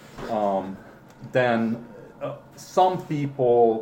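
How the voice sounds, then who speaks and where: A man with a non-native accent speaks with lively intonation. Audible room echo and noticeable background noise are present. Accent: foreign accent in English. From Romania, Hungarian minority. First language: Hungarian. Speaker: interviewee, father of the interviewers. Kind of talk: family interview. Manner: halting, with many repeats and fillers.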